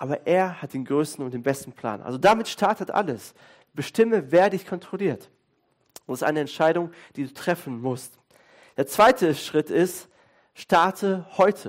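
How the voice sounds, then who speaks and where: A high-pitched man speaks at a moderate pace with lively intonation and an animated, warm tone. Long, frequent pauses break up his speech on a very clean recording with a silent background. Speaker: pastor. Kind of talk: sermon. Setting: church with congregation. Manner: conversational, fluent, with hesitations like "äh" and "ähm".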